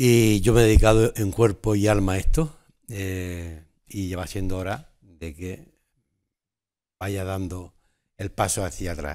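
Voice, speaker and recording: At a fairly slow pace with long, frequent pauses, the voice shows big swings in loudness and ordinary pitch variation over a quiet background. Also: man, very deep, low pitch for a man. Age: 70s. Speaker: carnival organizer. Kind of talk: TV interview. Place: studio.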